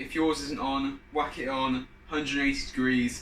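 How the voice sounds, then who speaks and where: A speaker with a British accent is heard with audible room echo and noticeable background noise. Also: man. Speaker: fitness YouTuber, personal trainer. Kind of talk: cooking tutorial. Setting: home kitchen. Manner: casual, chatty.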